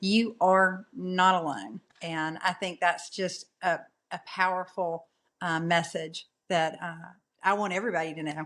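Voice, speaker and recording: At a fairly slow pace and with fairly even intonation, the speaker talks in a Southern US accent on a very clean recording with a silent background. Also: woman, fairly low pitch for a woman. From US South. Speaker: podcast guest. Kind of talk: casual interview chat.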